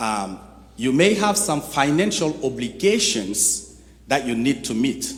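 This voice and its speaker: A man at medium pitch, very slow, with very wide pitch swings and audible room echo. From Chad. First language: French. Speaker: nonprofit executive director, guest speaker. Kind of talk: sermon. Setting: church.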